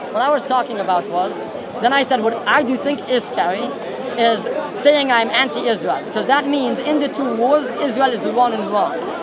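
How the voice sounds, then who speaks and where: Amid loud background noise, a man talks at a fairly quick pace in a dry sound with no echo. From Israel. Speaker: member of the public. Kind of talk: heated debate. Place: open country. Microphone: handheld.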